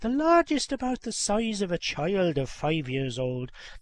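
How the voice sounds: What comes through is a natural reading voice.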